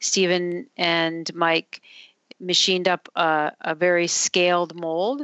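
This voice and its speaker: A woman with an Upper Midwest accent speaks in a fairly low voice. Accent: Upper Midwest American. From Minnesota, Duluth. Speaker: company CEO. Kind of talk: interview.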